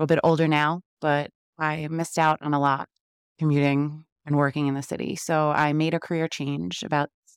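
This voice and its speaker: In a very clean recording with a silent background, a woman with a New York accent speaks at a moderate pace in a very deep, low pitch. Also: dry, close sound with no echo. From Queens, New York. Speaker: podcast host, working mom. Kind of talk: solo podcast monologue, friendly and motivational.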